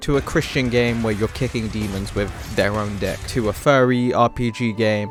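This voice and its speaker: A man speaks at a medium pitch with music in the background. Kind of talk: comedic video essay narration. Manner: monotone.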